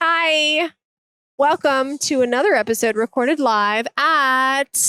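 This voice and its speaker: A woman speaks very slowly in a raised, projected voice, high in pitch with ordinary variation. Her tone is bright and sharp, and the sound is dry and close with no echo. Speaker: dental hygienist podcast host. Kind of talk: podcast conversation.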